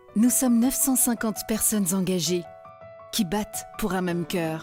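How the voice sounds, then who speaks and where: A woman with music in the background. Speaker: voice-over artist. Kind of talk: corporate narration.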